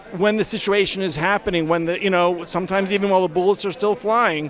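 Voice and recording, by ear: The man's voice is high-pitched with a fairly bright tone. He talks at a fairly quick pace with fairly even intonation.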